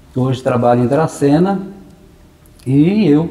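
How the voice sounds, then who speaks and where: A man at a moderate pace with ordinary pitch variation, in a room with audible echo. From Brazil, interior of São Paulo state (Maracaí/Assis area). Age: 60s. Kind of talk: interview. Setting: parish church premises.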